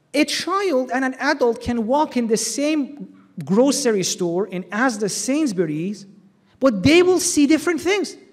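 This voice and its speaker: Loud and at a fairly slow pace, a man speaks at an extremely high pitch with very wide pitch swings. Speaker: Islamic lecturer. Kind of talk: religious lecture. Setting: hall with audience, PA system.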